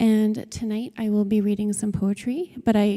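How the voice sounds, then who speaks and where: A woman speaks at a fairly slow pace in a medium pitch. Her tone is dark and mellow. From Northwest Territories, Canada. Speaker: law student and writer. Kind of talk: speech before poetry reading. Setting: cathedral with audience.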